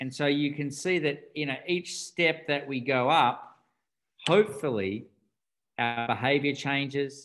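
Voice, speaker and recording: Speaking with an Australian accent, a man keeps to a fairly slow pace. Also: fairly high pitch for a man, ordinary pitch variation. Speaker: doctor and rites of passage teacher. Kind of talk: interview.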